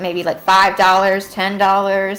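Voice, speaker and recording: Music plays in the background as a woman with a medium pitch speaks. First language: not English. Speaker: livestream co-host. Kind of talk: casual chat. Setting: livestream. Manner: halting.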